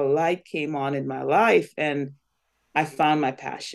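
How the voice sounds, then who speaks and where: The speech moves at a fairly slow pace against a quiet background. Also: woman. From Guyana. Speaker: nonprofit foundation president. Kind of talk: interview.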